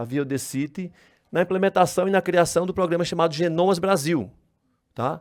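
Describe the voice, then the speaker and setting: Recorded very cleanly against a silent background, a man with a northeastern Brazilian accent speaks in a high pitch at a moderate pace with ordinary pitch variation. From Brazil, Northeast. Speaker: geneticist, research project coordinator. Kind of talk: conference talk. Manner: hesitant, with repetitions and self-corrections.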